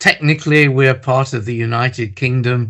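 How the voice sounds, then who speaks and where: This man speaks with an English accent. His intonation stays fairly even. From England. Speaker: criminology professor. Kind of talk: interview. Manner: frequent hesitations.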